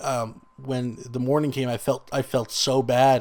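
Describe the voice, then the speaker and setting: A man is speaking. His pitch is medium. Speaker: gaming youtuber. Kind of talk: casual vlog talk. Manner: halting.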